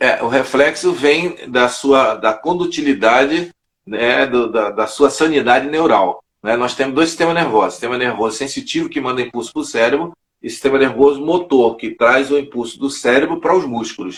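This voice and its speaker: In a normal speaking voice, a man talks at a moderate pace, fairly high in pitch with ordinary pitch variation. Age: 60s. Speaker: judo master. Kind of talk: interview.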